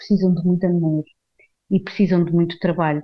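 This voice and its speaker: In a medium-pitched voice, a woman speaks with monotone, flat intonation. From Portugal, Carcavelos near Lisbon. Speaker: actress. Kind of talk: casual monologue. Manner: hesitant, many fillers.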